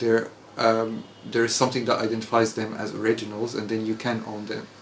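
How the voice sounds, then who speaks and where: An Arabic accent at a fairly quick pace with monotone, flat intonation, plus audible room echo and noticeable background noise. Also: man, medium pitch for a man. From Egypt. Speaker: English teacher. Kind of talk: casual chat. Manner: halting.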